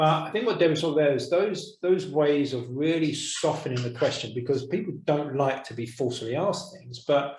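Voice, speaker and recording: A man with a fairly high voice talks at a fairly quick clip with hardly any pauses, ordinary pitch variation, big swings in loudness, a somewhat breathy sound and audible room echo. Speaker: course teacher. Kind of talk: online course discussion. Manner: soft-spoken.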